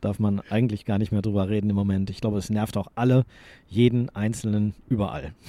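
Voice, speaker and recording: Dark and mellow in tone, a man's fairly low voice moves at a fairly quick pace with fairly even intonation. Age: 40s. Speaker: sports journalist and podcast co-host. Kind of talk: casual chat. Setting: studio, face to face.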